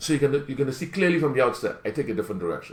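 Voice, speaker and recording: The speaker is a man. His intonation is lively. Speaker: talk show host. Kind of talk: live call-in talk show monologue. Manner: fast.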